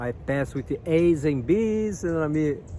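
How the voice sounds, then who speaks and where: The speaker has a Brazilian accent and talks at a fairly slow pace. Noticeable background noise is present. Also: man. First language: Portuguese. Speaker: spiritual guidance youtuber. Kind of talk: casual vlog monologue. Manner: halting, repetitive fillers; animated.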